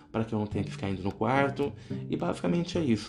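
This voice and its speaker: Very fast speech from a man with a fairly low pitch, with music in the background. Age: 30s. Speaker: psychology student and podcaster. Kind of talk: solo presentation monologue.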